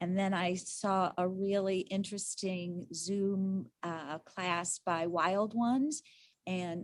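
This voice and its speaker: This woman speaks at a medium pitch. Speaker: volunteer phenology observer. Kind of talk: slide presentation over video call. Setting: video call. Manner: loud. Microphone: too quiet, others ask her to talk louder.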